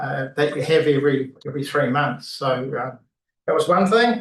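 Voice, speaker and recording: The speaker is a man with a New Zealand accent. His pitch sits fairly high. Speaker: retiring city councillor. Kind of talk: valedictory speech at council meeting. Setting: council chamber meeting. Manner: halting, many fillers.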